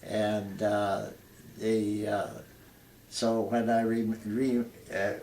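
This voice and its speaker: A man with an Ontario accent speaks at a very slow pace with fairly even intonation. Audible room echo surrounds his voice. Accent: Canadian (Ontario). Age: 80s+. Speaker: retired air force veteran. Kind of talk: interview. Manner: halting.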